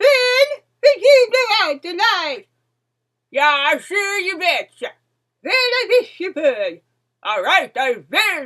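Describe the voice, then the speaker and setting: In a put-on character voice, a woman speaks at an extremely high pitch with very wide pitch swings, a very slow pace, and long, frequent pauses. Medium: read story. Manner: folksy, singsong.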